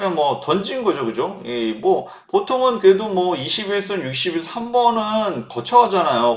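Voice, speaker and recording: A loud, animated man at a moderate pace, high in pitch, with very wide pitch swings. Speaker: stock market analyst. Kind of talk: market commentary monologue.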